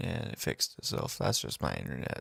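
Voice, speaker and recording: A soft-spoken man whispers at a moderate pace, rumbling with vocal fry, in a dry, close sound with no echo. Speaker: gaming streamer. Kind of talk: live game stream chat. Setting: home streaming at night. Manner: soft-spoken, near whisper. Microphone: clipping, cutting out, no pop filter.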